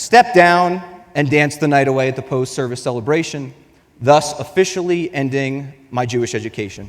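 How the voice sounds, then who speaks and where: Here a man has a normal speaking voice pitched fairly high. He talks at a fairly quick pace with ordinary pitch variation. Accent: American. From US Northeast, northern New Jersey. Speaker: program participant speaker. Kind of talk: scripted presentation.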